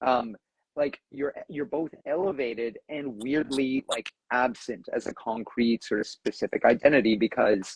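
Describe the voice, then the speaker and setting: A man with a Southern Ontario accent in a dry, close sound with no echo. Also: medium pitch for a man, ordinary pitch variation. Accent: Southern Ontarian drawl. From Southern Ontario, Canada. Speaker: discussion moderator, university academic. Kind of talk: casual live discussion. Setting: Instagram live stream. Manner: conversational with many fillers and restarts.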